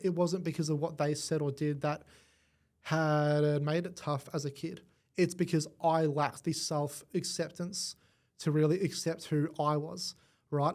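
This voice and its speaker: A man with an Australian accent speaks at a fairly slow pace in a monotone, flat intonation on a very clean recording with a silent background. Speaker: AV design engineer. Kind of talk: podcast interview answer.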